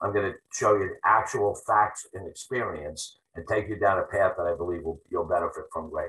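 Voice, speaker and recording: A man at a moderate pace, with hardly any pauses. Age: 60s. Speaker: real estate investor and coach. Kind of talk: webinar presentation. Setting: webinar.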